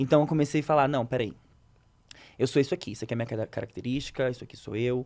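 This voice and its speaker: On a very clean recording with a silent background, a man talks at a very fast pace with long, frequent pauses. His pitch is medium, with ordinary variation. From Rio de Janeiro, Brazil. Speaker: psychoanalyst and content creator. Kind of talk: interview answer.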